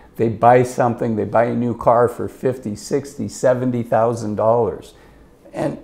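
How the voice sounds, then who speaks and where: This man has a plain, everyday voice at a medium pitch. He keeps a moderate pace. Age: 50s. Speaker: financial advisor. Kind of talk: casual talking-head advice monologue. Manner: conversational, with filler words and repetitions.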